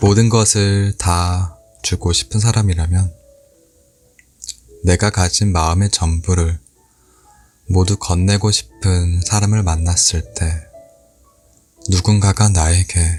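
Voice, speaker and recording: Over music in the background, a man speaks very slowly in a very deep, low pitch at very even loudness, with long, frequent pauses. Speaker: audiobook reader / ASMR channel host. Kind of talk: book reading, ASMR-style essay narration. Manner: soft, calm, gentle.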